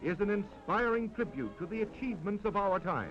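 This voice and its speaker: Over music in the background, a man talks at a moderate pace with a high pitch and ordinary pitch variation. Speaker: newsreel narrator. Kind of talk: vintage newsreel narration.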